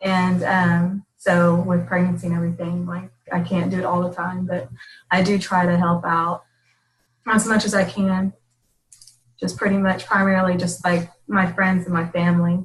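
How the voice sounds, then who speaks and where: At a moderate pace, a woman speaks in a somewhat breathy, fairly low voice with monotone, flat intonation. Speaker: fitness coach. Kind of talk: casual chat.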